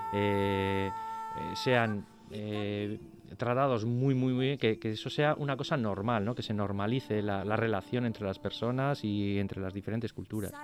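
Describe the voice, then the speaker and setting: Over music in the background, a man talks fairly slowly in a fairly low pitch with ordinary pitch variation. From Basque Country, Spain (Bilbao left bank). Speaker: radio co-host. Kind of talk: interview. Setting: studio. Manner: halting.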